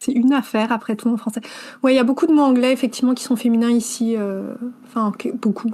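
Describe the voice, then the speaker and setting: A woman's high-pitched, dark and mellow voice at a very fast pace. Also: fairly even intonation. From southern France. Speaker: author and editor. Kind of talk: interview.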